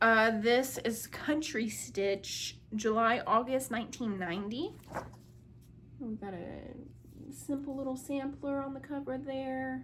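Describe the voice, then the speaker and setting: With audible room echo, a woman speaks at a very slow pace in a high pitch, showing ordinary pitch variation and big swings in loudness. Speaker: crafting video creator. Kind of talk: casual show-and-tell haul video. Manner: casual, filler-heavy.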